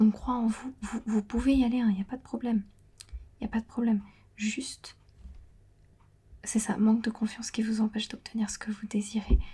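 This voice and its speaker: A somewhat breathy whisper. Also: woman. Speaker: ASMR creator and tarot card reader. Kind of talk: ASMR tarot reading. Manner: whispering, partly dropping to normal voice; hesitant with many fillers.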